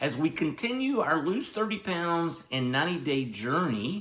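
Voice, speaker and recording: With a Southern US accent, a man talks at a fairly high pitch with very wide pitch swings. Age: 60s. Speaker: health and weight-loss vlogger. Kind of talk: casual vlog monologue.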